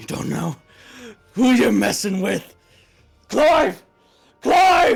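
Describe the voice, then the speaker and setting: A put-on character voice speaks at a very slow pace. Faint music plays in the background. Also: man. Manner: menacing, growling.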